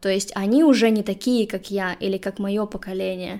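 A woman talks at a moderate pace in a medium pitch. It is a plain, everyday voice. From Russia, Saint Petersburg. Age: 30s. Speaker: podcast host and social media worker. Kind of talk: casual interview.

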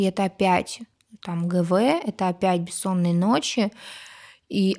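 A woman's medium-pitched voice, dark and mellow in tone, on a very clean recording with a silent background. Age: 30s. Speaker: pediatric doctor and mother of four. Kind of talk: casual chat.

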